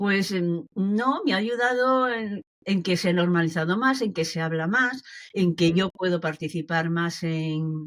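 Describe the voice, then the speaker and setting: A woman with a fairly low pitch and ordinary pitch variation speaks at a very slow pace on a very clean recording with a silent background. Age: 70s. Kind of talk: interview answer.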